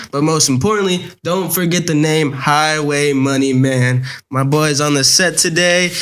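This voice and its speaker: At a moderate pace, a man with a fairly high pitch talks with very even loudness and fairly even intonation, with audible room echo around him. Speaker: podcast host. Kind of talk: casual interview chat.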